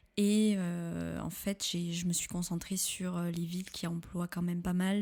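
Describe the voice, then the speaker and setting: Her intonation monotone and flat, a woman speaks at a fairly low pitch and a fairly slow pace. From southwestern France, Pau. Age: 20s. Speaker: podcast guest. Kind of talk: casual interview. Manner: hesitant, many fillers.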